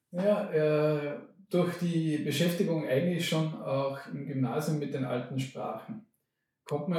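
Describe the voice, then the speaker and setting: A man's somewhat breathy voice, fairly high-pitched, with a dark, mellow tone. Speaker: professor of linguistics. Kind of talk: interview.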